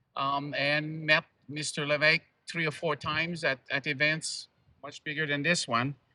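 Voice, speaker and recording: Moderate-paced speech in a French Canadian accent, bright and sharp in tone, monotone and flat, with a dry, close sound with no echo. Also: man, fairly high pitch for a man. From Quebec. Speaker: activist speaker. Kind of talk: public speech.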